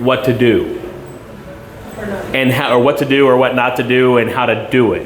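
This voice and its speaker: Music plays in the background and room echo is audible as a man of medium pitch speaks at a moderate pace. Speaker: school board candidate. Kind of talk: community meet and greet Q&A. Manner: loud.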